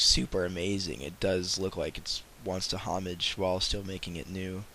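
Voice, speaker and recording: This man's very deep, low voice carries vocal fry and a bright, sharp tone. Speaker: gaming video host. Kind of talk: casual gaming news commentary.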